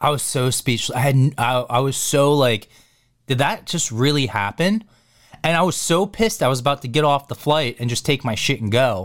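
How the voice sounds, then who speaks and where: A man speaks at a moderate pace in a normal speaking voice, his fairly high pitch moving with lively intonation. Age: 30s. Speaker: podcast host. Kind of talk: casual chat.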